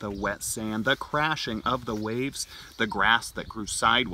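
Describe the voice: The delivery is plain reading aloud. Pitch shifts in an ordinary way.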